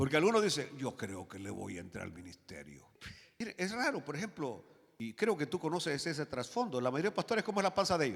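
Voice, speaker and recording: Vocal fry runs through a man's very fast speech. His pitch swings very widely. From rural Latin America. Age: 60s. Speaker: pastor. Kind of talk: sermon. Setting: church. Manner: animated.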